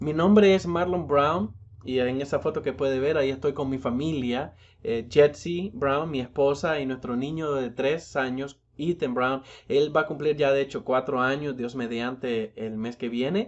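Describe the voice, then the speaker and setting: Fairly slow delivery with ordinary pitch variation. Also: man, fairly high pitch for a man. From Nicaragua. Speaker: pastor and seminary lecturer. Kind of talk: recorded lecture. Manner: halting, many fillers and restarts.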